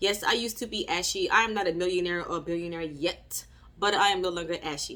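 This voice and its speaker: A woman's animated, bright and sharp voice at a fairly quick pace. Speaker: motivational vlogger. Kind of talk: motivational talk.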